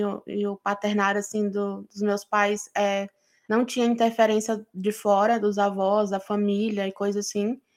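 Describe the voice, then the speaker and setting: A woman talks at a fairly slow pace with a fairly high pitch. The recording is very clean, with a silent background. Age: 20s. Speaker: podcast co-host. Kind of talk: casual chat.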